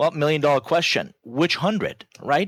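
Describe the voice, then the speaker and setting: With a Persian accent, a man speaks at a fairly quick pace in a fairly high pitch, recorded very cleanly against a silent background with a dry, close sound and no echo. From Iran. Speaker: business author and growth strategist. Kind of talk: podcast interview.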